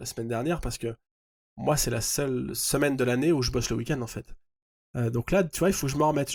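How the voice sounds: A man uses a hoarse, put-on character voice at a medium pitch with ordinary pitch variation. He talks at a very fast pace but leaves long, frequent pauses.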